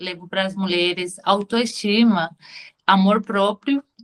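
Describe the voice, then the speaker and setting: A woman with a Spanish accent, at a medium pitch and very slow pace, with ordinary pitch variation and a bright, sharp tone. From Venezuela. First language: Spanish (speaking Portuguese). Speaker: beauty products consultant. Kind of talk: self-introduction pitch. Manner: halting.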